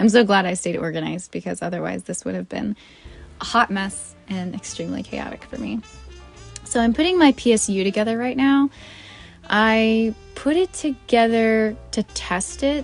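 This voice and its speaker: Over background music, a woman speaks at a moderate pace in a fairly high voice with lively intonation. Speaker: gamer and streamer. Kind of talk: casual talk to camera. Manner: soft-spoken.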